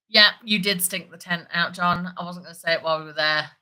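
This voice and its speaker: Talking at a fairly quick pace, a woman with a British accent has a fairly low pitch and a bright, sharp tone. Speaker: livestream host talking about larp. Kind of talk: casual livestream chat. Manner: fast; animated.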